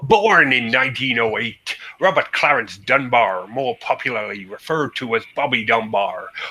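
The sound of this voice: The speaker uses an unforced reading voice. It is heard throughout the clip.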